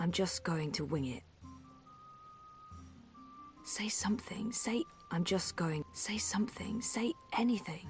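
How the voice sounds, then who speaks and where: At a fairly slow pace, the speech unfolds with music in the background. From foreign.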